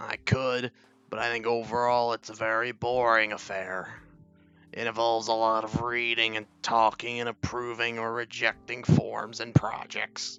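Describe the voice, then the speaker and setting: A man puts on a strained character voice at a medium pitch. His intonation is monotone and flat, with faint music in the background. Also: moderate pace. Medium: game stream. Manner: polished, condescending.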